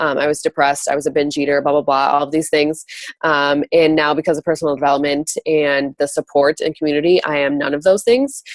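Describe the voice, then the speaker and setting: Very fast and monotone, a woman talks at a very deep, low pitch in a dry, close sound with no echo. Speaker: network marketing coach. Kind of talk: call-in training talk.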